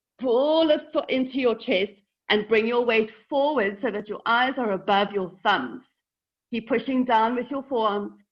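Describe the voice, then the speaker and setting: A woman's shaky, fairly high voice at a moderate pace, with ordinary pitch variation. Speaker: yoga teacher. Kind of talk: guided yoga class instruction. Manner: shaky while teaching this pose.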